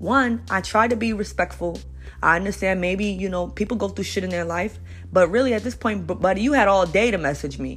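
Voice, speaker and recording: In a New York accent, a woman talks at a fairly quick pace with an animated tone. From Brooklyn, New York. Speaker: podcast host. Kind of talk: casual monologue rant.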